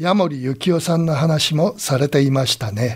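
This is an unremarkable speaking voice. It moves at a fairly slow pace. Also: man. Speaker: radio college host and commentator. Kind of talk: radio commentary closing remarks.

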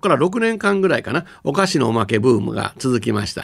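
Very wide pitch swings and vocal fry mark this very fast delivery. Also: man. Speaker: company executive and university professor. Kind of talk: radio lecture talk.

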